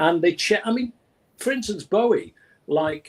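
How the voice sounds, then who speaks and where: Moderate pace, with a Manchester accent. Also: man. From England, Manchester. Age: 70s. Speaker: music executive. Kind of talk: interview. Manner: animated.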